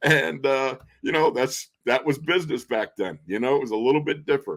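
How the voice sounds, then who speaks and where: A man's fairly high voice at a fairly quick pace, with ordinary pitch variation and a plain, everyday voice. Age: 60s. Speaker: football radio color analyst, former NFL player. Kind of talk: casual chat.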